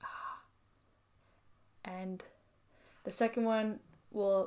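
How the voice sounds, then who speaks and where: A woman's relaxed, fairly high-pitched voice with a Canadian accent. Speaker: knitting podcaster and designer. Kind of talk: casual show-and-tell vlog. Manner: relaxed, hesitant with fillers.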